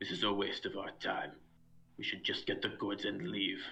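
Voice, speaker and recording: Speaking at a moderate pace, a man performs a put-on character voice. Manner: impatient, dismissive.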